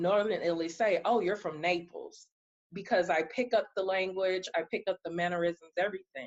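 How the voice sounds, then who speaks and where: A woman with an American accent has an unremarkable speaking voice. Her pitch is medium, with ordinary pitch variation. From East Texas. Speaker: podcast host. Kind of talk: casual chat.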